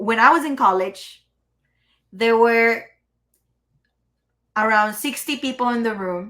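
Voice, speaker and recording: A woman talks in a fairly high pitch with a bright, sharp tone. The recording is very clean, with a silent background. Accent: Spanish. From Mexico, Chihuahua. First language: Spanish. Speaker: entrepreneur and AI consultant. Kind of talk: podcast interview.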